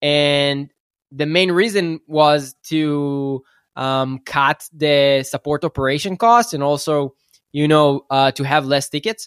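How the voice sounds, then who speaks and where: The man's pitch is fairly high, with ordinary variation, and he talks at a very slow pace. The recording is very clean, with a silent background and a dry, close sound that has no echo. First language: not English. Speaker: startup founder. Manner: halting, searching for words.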